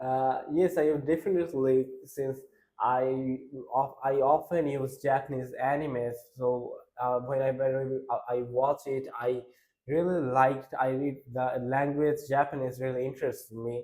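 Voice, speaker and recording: In a Bengali accent, a man of medium pitch speaks fairly slowly in a dark, mellow tone with monotone, flat intonation. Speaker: exam candidate. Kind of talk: speaking test interview. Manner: halting, many restarts and fillers.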